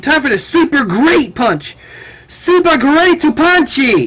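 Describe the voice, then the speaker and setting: Shouting in a put-on character voice at an extremely high pitch, a man delivers his lines at a fairly slow pace. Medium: read story. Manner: yelling, boastful.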